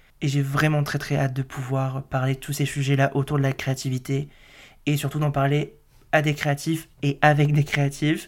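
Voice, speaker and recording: Speaking in a flat monotone, the man has a fairly high-pitched voice. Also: moderate pace. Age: 20s. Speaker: graphic designer and podcast host. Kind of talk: solo monologue podcast, casual personal talk. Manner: casual, hesitant with many fillers.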